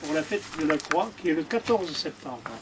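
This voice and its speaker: A man talks at a fairly slow pace. There is noticeable background noise in the recording. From France, Haute-Loire, Mézenc plateau. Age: 60s. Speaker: retired postman and thatcher. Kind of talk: demonstration interview. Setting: in a barn. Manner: halting, many hesitations.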